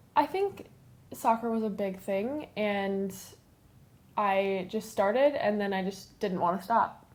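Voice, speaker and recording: A woman with a slight Minnesotan accent, medium pitch, ordinary pitch variation, a fairly slow pace and long, frequent pauses. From US Midwest, southern Minnesota (suburb south of Minneapolis). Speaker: fashion model. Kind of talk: interview. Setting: photographer's home.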